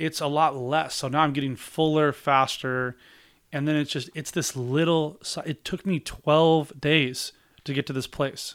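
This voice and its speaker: Here is a man with a normal speaking voice, fairly high in pitch. He talks at a fairly slow pace with fairly even intonation in a very clean recording with a silent background. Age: 40s. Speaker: real estate agent and investor. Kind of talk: casual interview chat.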